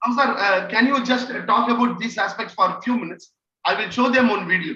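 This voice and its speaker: A man with an Indian accent speaks at a fairly quick pace in a raised, projected voice, his pitch extremely high and its variation ordinary. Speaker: trainer. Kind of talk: online training session. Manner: halting, many fillers.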